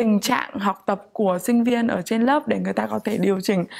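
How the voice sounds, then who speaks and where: A woman talks with ordinary pitch variation over a quiet background. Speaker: international student. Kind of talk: student testimonial. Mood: calm, sincere. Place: office. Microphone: lapel.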